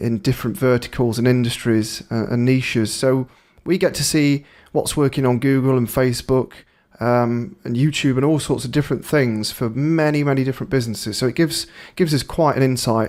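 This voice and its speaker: A man with a British accent, at a medium pitch with ordinary pitch variation, talking at a fairly quick pace. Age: 30s. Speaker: digital marketing agency owner. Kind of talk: webinar presentation. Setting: live webinar. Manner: casual, with fillers.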